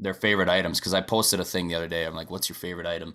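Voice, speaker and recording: On a very clean recording with a silent background, a man with an Upper Midwest accent speaks in a bright, sharp tone. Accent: Upper Midwest American. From Wisconsin, US Midwest. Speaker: country singer-songwriter. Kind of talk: casual interview chat.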